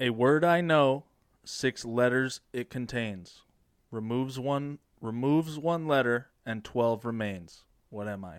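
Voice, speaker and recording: In a very clean recording with a silent background, a man uses a normal speaking voice at a medium pitch and a fairly slow pace, with ordinary pitch variation. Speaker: riddle teller, friend of hosts. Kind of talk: casual banter.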